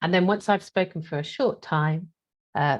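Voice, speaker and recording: A woman speaks in a somewhat breathy voice at a moderate pace. Her pitch varies in an ordinary way over a quiet background. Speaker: trainer. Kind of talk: online workshop presentation. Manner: hesitant, many fillers.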